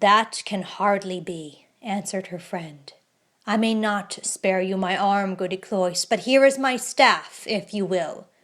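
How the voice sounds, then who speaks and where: A woman puts on a character voice at a medium pitch. She talks at a fairly slow pace. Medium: read story. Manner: composed, smooth.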